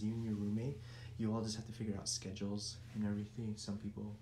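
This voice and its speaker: Speaking at a very fast pace, a man uses a fairly low pitch. There is audible room echo and light background noise. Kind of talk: casual vlog tour narration. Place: home room. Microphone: phone near.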